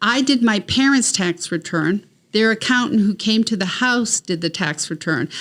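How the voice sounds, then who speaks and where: This woman has a Maine accent and a fairly high pitch. She talks at a moderate pace with lively intonation. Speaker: tax specialist. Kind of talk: podcast interview.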